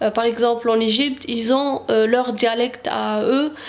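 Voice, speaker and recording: A very slow, monotone, flat delivery in an Algerian accent, with noticeable background noise. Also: woman. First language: Arabic (speaking French). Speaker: Arabic language teacher. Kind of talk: tutorial. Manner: halting, many hesitations.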